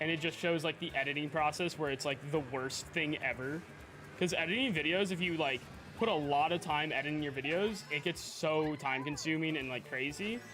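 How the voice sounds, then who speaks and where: Noticeable background noise sits behind a man with a fairly high voice. He talks in a relaxed tone at a fairly quick pace with ordinary pitch variation. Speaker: video game streamer. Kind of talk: casual live-stream chat.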